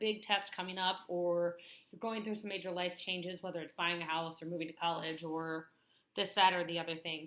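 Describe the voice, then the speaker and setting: Speaking with an American accent, a woman has a medium-pitched voice with a bright, sharp tone. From US Midwest, northwest Illinois. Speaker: vlogger. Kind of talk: vlog talk to camera. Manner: fast.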